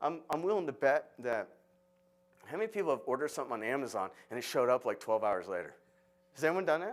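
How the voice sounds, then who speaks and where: With an American accent and vocal fry, a man talks at a very fast pace in a fairly high pitch, with very wide pitch swings and long, frequent pauses. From Florida, US. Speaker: architect, conference speaker. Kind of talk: conference talk. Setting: stage with audience. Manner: loud; animated, halting with repetitions.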